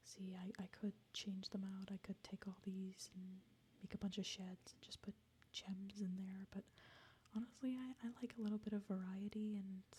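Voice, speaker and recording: The voice is somewhat breathy and keeps a flat monotone. It moves at a moderate pace. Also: woman. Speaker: ASMR creator. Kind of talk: ASMR game tour, casual talk. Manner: soft-spoken, semi-whispered.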